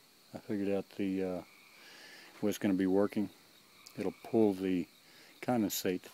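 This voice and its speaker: Against light background noise, a man talks at a fairly quick pace in a very deep, low, dark and mellow voice, his intonation monotone and flat, the sound dry with no echo. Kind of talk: casual project update. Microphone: phone near.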